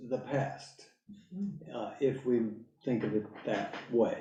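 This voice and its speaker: A man's dark, mellow voice with audible room echo. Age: 70s. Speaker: lecturer on philosophy. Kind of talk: lecture. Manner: halting.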